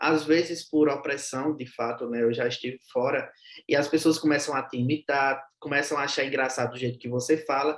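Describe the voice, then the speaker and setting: At a moderate pace, a man delivers his words in a fairly high pitch with monotone, flat intonation. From Brazilian Northeast. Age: young. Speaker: social media content creator, humorist. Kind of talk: interview conversation.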